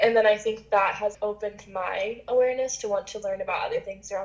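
Over noticeable background noise, a woman with an American accent speaks very fast in a fairly high pitch with fairly even intonation. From West Virginia, US. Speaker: interviewee. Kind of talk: casual interview.

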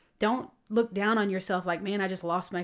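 A woman with a plain, everyday voice talks at a medium pitch with fairly even intonation on a very clean recording with a silent background. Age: 30s. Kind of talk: faith testimony interview.

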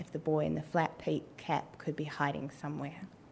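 A woman talks in a New Zealand accent. Her pitch swings very widely. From New Zealand, Wellington. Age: 20s. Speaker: storyteller, writer and policy advisor. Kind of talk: live storytelling. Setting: stage with audience.

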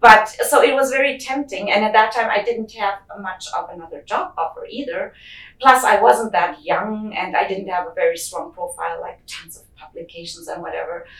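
A woman speaks at a moderate pace with big swings in loudness. Noticeable background noise runs beneath her voice. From Germany. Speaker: geochemist. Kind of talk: interview.

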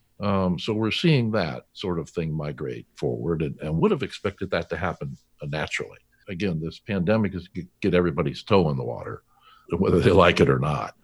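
A man speaks at a very deep, low pitch in a Californian accent. Vocal fry runs through his voice. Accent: Californian American. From US West Coast, California. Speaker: business founder and CEO. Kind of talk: interview. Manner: halting.

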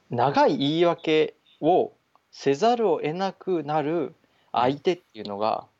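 A man with a fairly high voice speaks at a very slow pace, his pitch swinging very widely. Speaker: podcast co-host. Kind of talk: casual chat.

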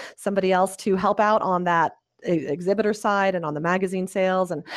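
A woman with an American accent uses a normal speaking voice at a medium pitch, talking at a moderate pace with fairly even intonation. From US South, small-town Alabama. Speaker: business founder and conference organizer. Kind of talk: interview.

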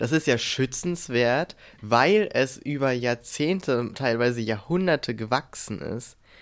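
On a very clean recording with a silent background, a man with a medium pitch talks at a very slow pace using lively intonation. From Brandenburg, Germany. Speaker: podcast co-host. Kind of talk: casual chat.

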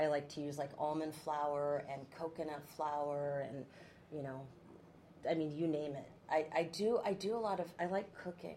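A woman with a very deep, low pitch and a dark, mellow tone talks at a moderate pace with ordinary pitch variation. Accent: West Coast US. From Oregon, US Pacific Northwest. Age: 50s. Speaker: TV news anchor. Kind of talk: casual chat.

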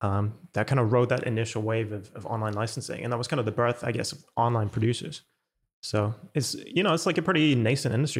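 In a somewhat breathy voice, a man speaks at medium pitch and a very fast pace. The recording is very clean, with a silent background. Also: ordinary pitch variation. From Germany. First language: German. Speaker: music producer. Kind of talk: casual interview.

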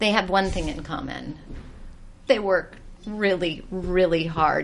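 The woman's voice sits at a medium pitch. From US South, Georgia. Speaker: TV style expert. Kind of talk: casual chat.

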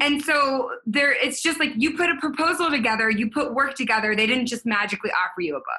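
A woman with a high pitch speaks in a raised, projected voice at a very fast pace, animated and with lively intonation, hardly any pauses and very even loudness, over noticeable background noise. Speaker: podcast host and business coach. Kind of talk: casual interview chat.

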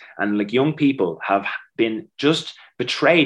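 A man with an Irish accent and lively intonation. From Ireland, Dublin. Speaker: DJ and campaigner. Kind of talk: interview.

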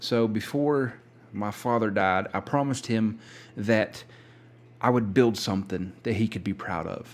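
The recording is very clean, with a silent background. A man talks at a fairly slow pace with a fairly low pitch and ordinary pitch variation. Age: 30s. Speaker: podcast host. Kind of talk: casual monologue. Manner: halting.

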